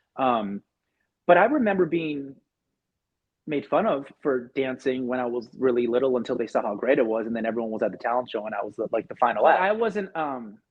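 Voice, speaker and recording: An ordinary speaking voice with an American accent moves at a fairly quick pace, its intonation lively. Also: man, medium pitch for a man. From Irvine, California. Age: 40s. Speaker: podcast host, former dancer. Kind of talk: casual chat.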